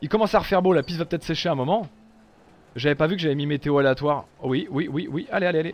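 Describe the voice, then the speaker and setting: Speaking at a very fast pace, a man uses a fairly high pitch with ordinary variation. His tone is animated. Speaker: gaming streamer. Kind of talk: live gameplay commentary.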